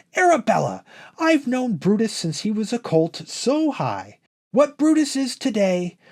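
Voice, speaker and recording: A female-sounding voice uses a put-on character voice with fairly high pitch on a very clean recording with a silent background. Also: moderate pace. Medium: read story. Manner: sharp, stern.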